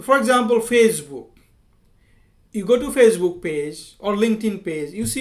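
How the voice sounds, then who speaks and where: Lively intonation marks this man's fairly slow speech in an Indian accent. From India, village. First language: Hindi. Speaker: software engineer and language teacher. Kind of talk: tutorial. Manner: halting, with fillers and repetitions.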